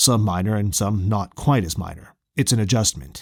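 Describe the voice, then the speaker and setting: A man's put-on character voice, fairly low in pitch and fairly quick in pace, on a very clean recording with a silent background. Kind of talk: horror narration. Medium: read story. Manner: measured.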